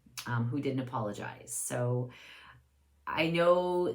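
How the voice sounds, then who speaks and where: Audible room echo surrounds a woman speaking at a fairly slow pace. Her pitch is very deep and low, with ordinary variation. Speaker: video blogger. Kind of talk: casual monologue. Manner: hesitant, many fillers.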